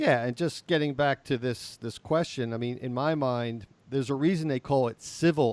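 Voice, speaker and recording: Heard in a very clean recording with a silent background, a plain, everyday voice moves at a moderate pace with ordinary pitch variation. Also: man. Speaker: podcast co-host. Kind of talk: casual discussion.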